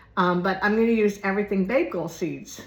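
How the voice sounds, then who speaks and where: In an American accent, a woman sounds somewhat breathy, with ordinary pitch variation. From Florida. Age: 60s. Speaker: YouTuber. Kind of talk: casual chat. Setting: at home. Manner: rambling, casual.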